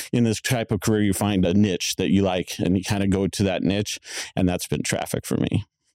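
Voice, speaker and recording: A man with an American accent talks at a fairly quick pace in a fairly low, dark and mellow tone. His intonation stays fairly even, and the sound is dry and close with no echo. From Tempe, Arizona. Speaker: police community responder. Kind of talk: interview.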